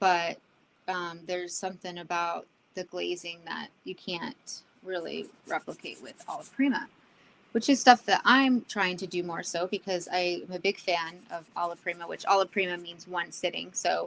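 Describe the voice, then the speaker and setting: A woman's fairly low voice at a moderate pace, with ordinary pitch variation, big swings in loudness and light background noise. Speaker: artist streaming a painting session. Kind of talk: live painting demo chat. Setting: livestream. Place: home room. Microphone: studio mic.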